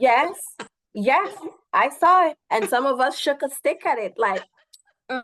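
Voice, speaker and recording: In a Guyanese accent, a woman with a high pitch speaks at a fairly slow pace with long, frequent pauses and very wide pitch swings, the sound dry and close with no echo. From Guyana, East Coast. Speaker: naturopath and massage therapist. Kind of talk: interview.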